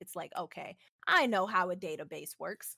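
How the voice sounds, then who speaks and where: A woman with an American accent has a normal speaking voice, ordinary pitch variation and a moderate pace. The sound is dry and close, with no echo. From Houston, Texas. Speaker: programmer. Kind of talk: casual interview.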